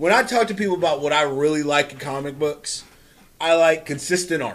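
A man with an ordinary speaking voice talks at a fairly quick pace with ordinary pitch variation. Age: 30s. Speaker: comic book podcast host. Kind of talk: casual chat.

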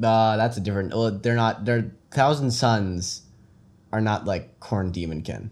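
Delivery is fairly slow. It comes in a plain, everyday voice, with ordinary pitch variation. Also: man, fairly low pitch for a man. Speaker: podcast co-host, tabletop wargamer. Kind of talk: casual banter chat. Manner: joking, playful.

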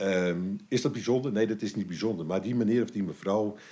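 Talking at a very fast pace, a man has a fairly low pitch and a dark, mellow tone. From Amsterdam, Netherlands. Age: 60s. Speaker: municipal cleaning coordinator. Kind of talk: casual interview. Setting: waste collection site. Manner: halting.

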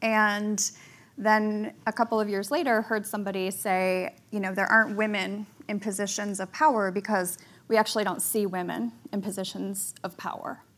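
A woman's medium-pitched, plain, everyday voice, moderate in pace with fairly even intonation. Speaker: magazine editor. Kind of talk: casual panel chat. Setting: stage with audience.

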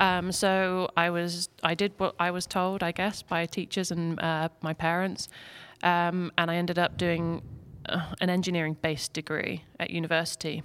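A woman with an English accent, fairly low in pitch and flat in a monotone, at a moderate pace on a very clean recording with a silent background. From England. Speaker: interior designer. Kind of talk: podcast interview. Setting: studio. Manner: hesitant, many fillers.

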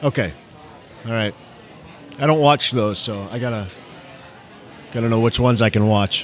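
Over noticeable background noise, a man with an American accent talks at a moderate pace in a medium pitch with ordinary pitch variation, leaving long, frequent pauses. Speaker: emergency physician and educator, former actor. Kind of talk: casual chat. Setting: recording in a bar or restaurant.

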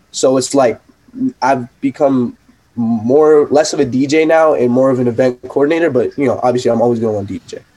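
A man with a New York accent speaks in a dark, mellow tone at a medium pitch. His pace is moderate and his intonation fairly even. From New York / New Jersey. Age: 20s. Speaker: DJ and event promoter. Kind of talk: casual chat. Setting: video call.

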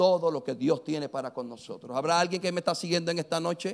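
A man speaks with lively intonation. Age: 50s. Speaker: pastor. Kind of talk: sermon. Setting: church.

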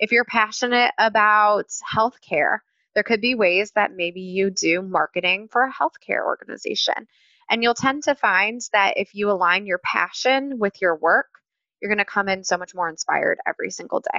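A woman speaks in a normal speaking voice with an American accent, at a moderate pace and with ordinary pitch variation. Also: fairly high pitch for a woman. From US Midwest (Cleveland, Ohio). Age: 30s. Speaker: university recruiting manager. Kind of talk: interview. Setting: video call.

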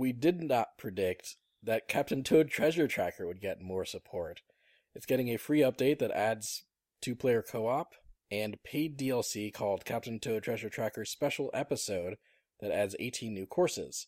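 Recorded dry and close with no echo, a man with an unremarkable speaking voice and medium pitch talks at a moderate pace with lively intonation. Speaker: podcast host. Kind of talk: casual chat.

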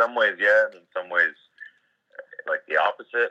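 The sound is dry and close with no echo. A man speaks at a fairly quick pace. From Ontario, Canada (rural area near Kingston). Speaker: rapper and contractor. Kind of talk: casual chat.

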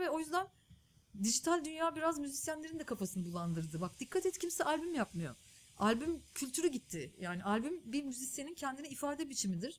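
Moving at a fairly quick pace, a woman speaks with pitch that swings very widely. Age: 30s. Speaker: journalist and documentary filmmaker. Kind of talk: interview conversation.

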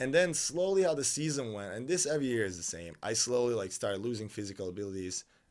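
The speech is very fast with lively intonation, on a very clean recording with a silent background. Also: man. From Serbia (Novi Sad). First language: Serbian. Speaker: professional beach volleyball player. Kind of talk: casual interview chat.

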